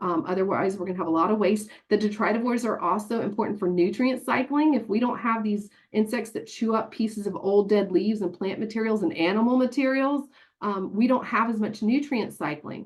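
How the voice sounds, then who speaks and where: Speaking at a fairly quick pace, a woman with a Tennessee accent has a fairly high, somewhat breathy voice and ordinary pitch variation. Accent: Tennessee country twang. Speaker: horticulture extension agent. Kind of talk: webinar presentation. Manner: animated.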